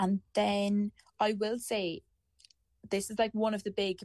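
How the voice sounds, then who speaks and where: Against a quiet background, a woman speaks with an Irish accent. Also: dry, close sound with no echo. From Ireland. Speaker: university student on Erasmus. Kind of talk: casual chat.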